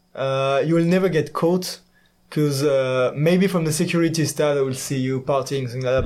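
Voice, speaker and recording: The speaker has a French accent and a fairly quick pace. Intonation stays fairly even. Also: man. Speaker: exchange student in engineering. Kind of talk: casual interview.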